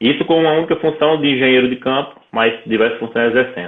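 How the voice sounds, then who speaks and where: With a northeastern Brazilian accent, a man talks at a fairly quick pace in a medium pitch, keeping his loudness very even. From Brazil, Mossoró, Rio Grande do Norte. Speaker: entrepreneur, engineer. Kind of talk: interview.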